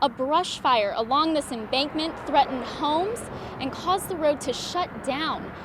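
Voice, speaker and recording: Noticeable background noise is present. Over it, a woman speaks in a high pitch. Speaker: TV news reporter. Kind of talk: on-location news stand-up.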